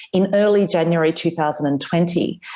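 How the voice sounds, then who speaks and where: A woman speaks with an Australian accent. Her tone is dark and mellow. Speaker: author. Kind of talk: interview.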